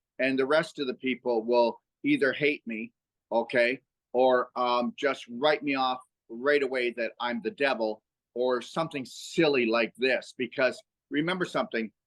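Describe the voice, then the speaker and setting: A dry, close recording with no echo, spoken at a moderate pace. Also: man, medium pitch for a man, ordinary pitch variation. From Canada. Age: 60s. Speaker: health educator and author. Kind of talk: podcast interview. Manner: animated; halting with fillers.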